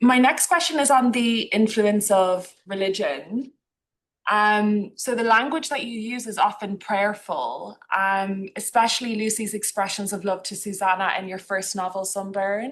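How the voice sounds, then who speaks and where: In an Irish accent, a woman speaks at a fairly slow pace and medium pitch, with ordinary pitch variation and big swings in loudness. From Ireland. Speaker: book club host. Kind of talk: book club interview.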